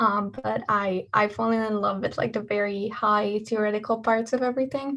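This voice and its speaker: A woman with a Hungarian accent and a fairly high pitch talks at a moderate pace with hardly any pauses. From Hungary. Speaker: engineering student. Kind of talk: talk at an online student event. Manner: talkative, lively.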